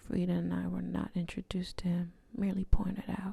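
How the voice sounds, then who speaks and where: Soft-spoken whispering at a moderate pace. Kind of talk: whispered audiobook-style reading of a novel. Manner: whispered, soft.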